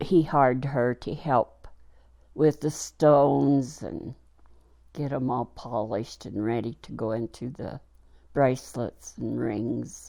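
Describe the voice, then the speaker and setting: Over a very clean recording with a silent background, a woman speaks very slowly in a very deep, low voice with a dark, mellow tone and vocal fry. Her pitch variation is ordinary, while her loudness swings widely. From New Mexico. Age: 70s. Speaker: grandmother interviewed for family history. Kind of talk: oral history interview. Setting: at home. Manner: halting with fillers.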